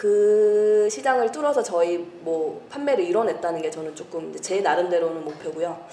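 A woman speaks with lively intonation in a room with audible echo and noticeable background noise. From grew up abroad. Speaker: overseas sales professional. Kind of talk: casual chat. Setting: studio.

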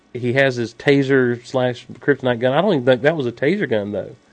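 With an American accent, a man speaks in a plain, everyday voice at a medium pitch, using ordinary pitch variation and a moderate pace. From US South, Georgia. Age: 30s. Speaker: podcast co-host. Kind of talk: casual chat.

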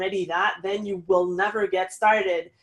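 A woman with a French accent, medium pitch, moderate pace and fairly even intonation. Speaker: online business consultant. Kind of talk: interview.

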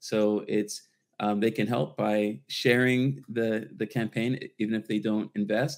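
With an American accent and a normal speaking voice, a man talks at a fairly slow pace in a fairly low pitch with ordinary pitch variation. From Washington, D.C. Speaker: startup founder, former radio professional. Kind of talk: casual panel interview. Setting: remote video call.

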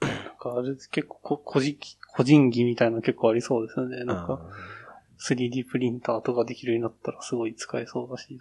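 A man with a plain, everyday voice talks at a fairly quick pace, medium in pitch and fairly even in intonation. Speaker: office worker. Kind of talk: casual chat. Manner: casual, laughs often.

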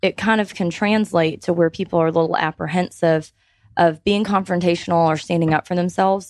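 A normal speaking voice with an American accent keeps a moderate pace and fairly even intonation, with a dry, close sound that has no echo. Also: woman. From Georgia, US South. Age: 30s. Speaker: business consultant. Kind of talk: radio panel interview. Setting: radio studio.

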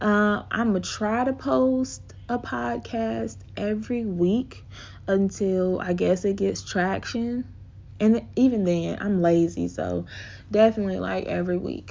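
A woman with an American accent, speaking at a fairly slow pace. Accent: Southern US, shifting between accents. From US South. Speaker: podcast host. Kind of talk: casual solo monologue. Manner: rambling, laughs often.

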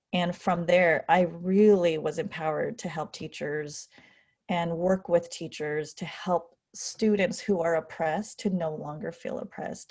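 Very clean with a silent background, this recording has a woman with an American accent speaking at fairly low pitch in a somewhat breathy voice with ordinary pitch variation. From California, US. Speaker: educator and author. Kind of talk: casual interview conversation.

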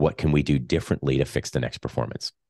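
Against a quiet background, a man talks at a very fast pace with a very deep, low pitch and vocal fry. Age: 40s. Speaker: leadership coach and author. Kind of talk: interview.

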